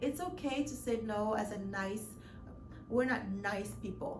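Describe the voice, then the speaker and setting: A woman talks at a fairly slow pace amid noticeable background noise and audible room echo. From Mali, West Africa. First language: not English; speaks French. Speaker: lifestyle vlogger. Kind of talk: casual vlog monologue. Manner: hesitant, many fillers and restarts.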